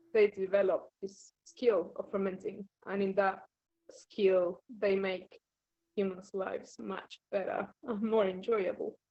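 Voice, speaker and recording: Monotone, flat intonation from a woman at a medium pitch, in an Argentinian accent, at a fairly slow pace. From Argentina. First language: Spanish. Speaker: wine fermentation scientist. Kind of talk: interview.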